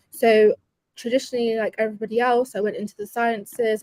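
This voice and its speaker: A woman talks in a fairly high voice with monotone, flat intonation. The sound is dry and close, with no echo. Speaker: tech professional and community builder. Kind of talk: interview. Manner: fast.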